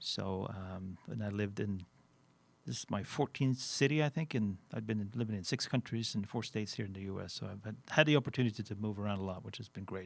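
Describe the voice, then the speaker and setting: A man talks at a fairly low pitch and a fairly quick pace, with ordinary pitch variation and big swings in loudness. The recording is very clean, with a silent background. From Sweden. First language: Swedish. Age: 50s. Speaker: finance executive. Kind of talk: interview.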